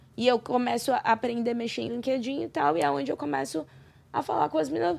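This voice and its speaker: On a very clean recording with a silent background, a woman talks at a fairly quick pace. Her pitch is medium, with very wide swings. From Brazil. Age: 30s. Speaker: podcast guest. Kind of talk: casual interview.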